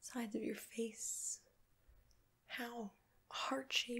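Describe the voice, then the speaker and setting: A woman's soft-spoken, somewhat breathy voice with fairly even intonation against a quiet background. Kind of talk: soft-spoken roleplay talk to viewer. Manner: soft, slow ASMR murmur. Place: home room. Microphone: phone near.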